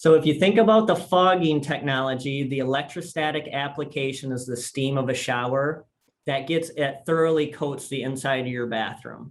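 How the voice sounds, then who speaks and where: Speaking at a moderate pace with ordinary pitch variation, a man uses a normal speaking voice. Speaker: sales presenter. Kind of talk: webinar product presentation.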